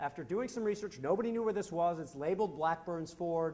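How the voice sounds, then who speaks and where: Loud and animated in tone, a man with an American accent speaks with lively intonation. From US Midwest, Wisconsin. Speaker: Civil War historian and educator. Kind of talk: lecture.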